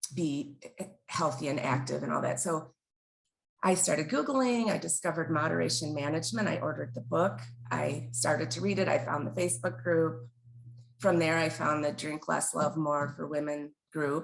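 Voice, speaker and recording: This woman's voice is very deep and low in pitch. Her pitch varies in an ordinary way. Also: moderate pace. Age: 50s. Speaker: interviewee recovering from problem drinking. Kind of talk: interview testimony. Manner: halting, many fillers.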